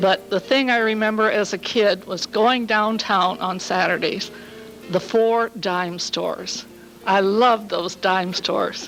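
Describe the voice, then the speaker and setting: Music plays in the background as a woman with an American accent speaks very slowly at a fairly high pitch, her intonation monotone and flat. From US Midwest, Hammond, Indiana. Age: 70s. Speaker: local resident sharing memories. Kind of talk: oral history testimony at community meeting.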